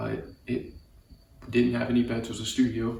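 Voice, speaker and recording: A soft-spoken man talks at a moderate pace in a monotone, flat intonation. Noticeable background noise and audible room echo surround him. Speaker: vlogger. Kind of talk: personal storytelling monologue. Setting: garage at dad's house. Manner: soft-spoken, keeping voice low; halting, many fillers and repetitions.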